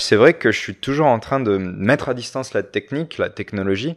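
With ordinary pitch variation, this man keeps to a moderate pace. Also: very clean recording, silent background. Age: 30s. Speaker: visual artist and art teacher. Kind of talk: casual chat. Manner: halting, many repetitions.

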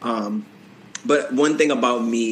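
With an American accent, the speaker talks at a moderate pace in fairly even intonation over noticeable background noise. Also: man. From Boston, Massachusetts. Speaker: professional dancer and choreographer. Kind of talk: casual interview chat.

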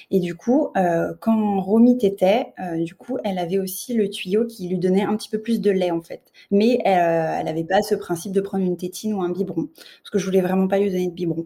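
The woman's voice has a medium pitch and a dark, mellow tone. She keeps a moderate pace with ordinary pitch variation. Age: 30s. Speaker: mother, childcare assistant. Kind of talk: interview testimony.

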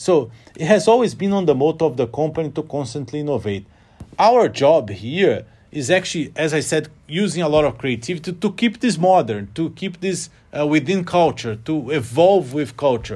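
Pitched fairly high, a man talks at a moderate pace with lively intonation and some vocal fry. The recording is very clean, with a silent background. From Brazil, Rio de Janeiro. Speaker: business executive. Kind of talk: interview. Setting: office. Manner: halting, many repetitions.

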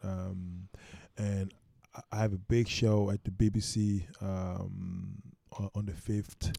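A man speaks very slowly at a fairly low pitch. His tone is dark and mellow, with monotone, flat intonation. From Sweden. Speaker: musician. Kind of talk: casual chat. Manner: confident.

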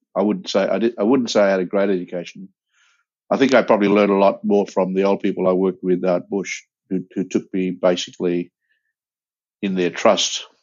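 Speaking with an Australian accent, a man keeps a fairly low pitch and a monotone, flat intonation at a fairly quick pace. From Broome, Western Australia. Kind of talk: interview.

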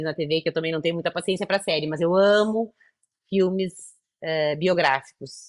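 A woman with a fairly low pitch uses a normal speaking voice, keeping a moderate pace and ordinary pitch variation. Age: 50s. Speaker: entrepreneur, founder of a women's business program. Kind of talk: interview conversation.

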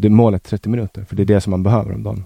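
A man's very deep, low, dark and mellow voice at a very fast pace with fairly even intonation, dry and close with no echo, in a very clean recording with a silent background. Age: 20s. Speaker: guest. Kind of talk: casual conversation.

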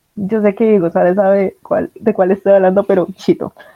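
A woman speaks in an unremarkable speaking voice at a medium pitch. Her pace is moderate, and her intonation is fairly even. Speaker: podcast host. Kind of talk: casual chat.

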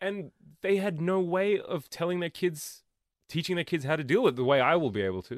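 With an Australian accent, a man speaks at a fairly quick pace in a high pitch. His pitch variation is ordinary, and the background is quiet. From Australia, Melbourne. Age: 30s. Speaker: comedian. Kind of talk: casual chat.

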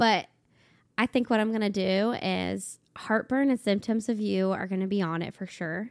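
In a very clean recording with a silent background, a woman speaks at a moderate pace in a medium pitch, a normal speaking voice. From Ohio, Cincinnati. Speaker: country singer-songwriter. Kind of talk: casual chat.

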